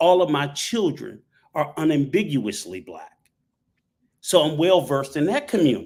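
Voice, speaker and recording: A man with a fairly high pitch, lively intonation and vocal fry speaks at a moderate pace, his loudness swinging widely and his long pauses coming often. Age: 60s. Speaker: panel guest, traveler. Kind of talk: live panel discussion. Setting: live stream panel.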